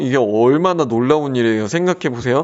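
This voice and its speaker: In a normal speaking voice, a man talks at a medium pitch with ordinary pitch variation. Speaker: pastor. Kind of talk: religious teaching talk. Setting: solo recording.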